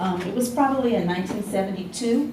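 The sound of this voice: A woman with an American accent speaks at a fast pace, her medium pitch showing ordinary pitch variation. Her tone is dark and mellow, with audible room echo around it.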